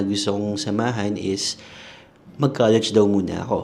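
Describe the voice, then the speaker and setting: A man speaks in an ordinary speaking voice. His pitch is fairly low and his pace moderate. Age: 30s. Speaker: comedian and content creator. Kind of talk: casual personal monologue podcast. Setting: sitting on a toilet.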